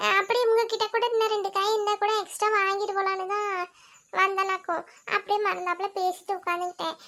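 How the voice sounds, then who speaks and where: A woman's cartoonish character voice at an extremely high pitch, monotone and flat, at a moderate pace with very even loudness. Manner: chatty, relaxed.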